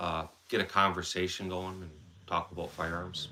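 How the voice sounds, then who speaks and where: In a Wisconsin accent, a man talks at a moderate pace with a very deep, low pitch. His tone is bright and sharp. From central Wisconsin. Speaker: firearms livestreamer. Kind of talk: casual live stream chat.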